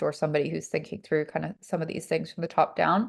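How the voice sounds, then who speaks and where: A woman speaks with an English accent and a fairly low pitch. The background is quiet. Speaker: health-tech investor, former reporter. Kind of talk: fireside chat interview. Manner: casual, many fillers.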